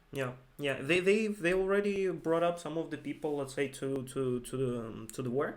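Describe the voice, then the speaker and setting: A non-native accent at a moderate pace, with ordinary pitch variation. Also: man. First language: not English. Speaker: investing video co-host. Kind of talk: casual investment discussion. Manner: halting, many fillers and repeats.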